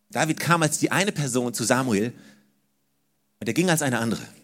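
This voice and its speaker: Talking at a fairly quick pace, a man uses a warm tone and lively intonation. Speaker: preacher. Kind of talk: sermon. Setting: church. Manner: animated, emphatic, repeating key phrases to drive them home; warm, direct address to the congregation.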